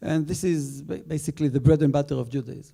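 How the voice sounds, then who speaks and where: A man with an Israeli accent has a dark, mellow tone, a fairly high pitch and fairly even intonation. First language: Hebrew. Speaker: rabbi on a panel. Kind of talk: panel talk. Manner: halting.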